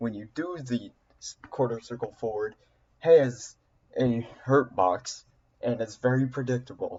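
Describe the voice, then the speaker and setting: A man speaks at a fairly slow pace and medium pitch, with ordinary pitch variation and long, frequent pauses. His voice is somewhat breathy. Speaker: video game player explaining a fighting game character. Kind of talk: casual gameplay explanation to viewers. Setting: low-quality home recording. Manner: hesitant, stumbling, loses train of thought.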